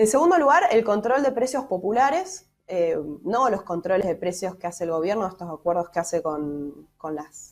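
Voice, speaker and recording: With lively intonation, a woman delivers her words at a moderate pace. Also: medium pitch for a woman. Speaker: economist. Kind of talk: interview. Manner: hesitant fillers.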